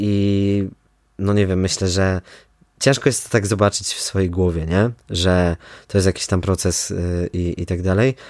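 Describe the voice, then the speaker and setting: A man's very deep, low voice, fairly slow and fairly even in intonation, in a very clean recording with a silent background. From Poland, Kraków (Nowa Huta). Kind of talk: casual interview. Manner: hesitant with many fillers.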